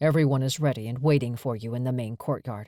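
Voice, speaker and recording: Someone rattles off lines in a gruff put-on character voice at a very fast pace. The recording is very clean, with a silent background. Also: man. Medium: read story. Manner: gruff, terse.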